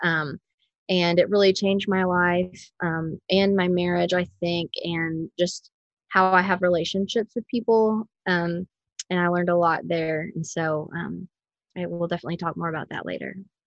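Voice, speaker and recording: A woman with an American accent and an ordinary speaking voice talks at a moderate pace, her fairly low pitch and fairly even intonation caught in a dry, close sound with no echo against a quiet background. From rural Missouri. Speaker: stay-at-home mom. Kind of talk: casual interview.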